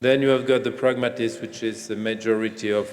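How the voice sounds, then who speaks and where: A man with a French accent speaks with ordinary pitch variation, and audible room echo surrounds his voice. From France. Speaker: gynecologist and professor. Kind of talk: keynote lecture. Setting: conference stage with audience.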